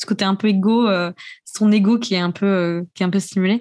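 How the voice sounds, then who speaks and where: The recording is very clean with a silent background. A woman at medium pitch speaks fairly quickly in a monotone, flat way. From raised abroad as French expat (Austria, Japan). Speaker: podcaster. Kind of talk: casual chat. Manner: talks a lot when passionate.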